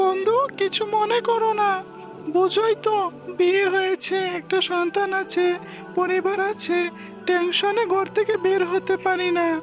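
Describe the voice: A woman's cartoonish character voice, extremely high in pitch, at a fairly slow pace over clear music in the background.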